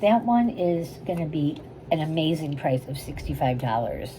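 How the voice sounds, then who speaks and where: A woman's very deep, low voice with lively intonation over noticeable background noise. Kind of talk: sales pitch. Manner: whispering, soft.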